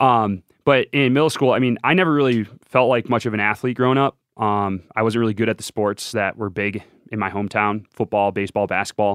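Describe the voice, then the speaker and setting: Using an ordinary speaking voice, a man talks at a fairly quick pace with a fairly low pitch and ordinary pitch variation. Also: dry, close sound with no echo. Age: 20s. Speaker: Olympic biathlete. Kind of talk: casual chat.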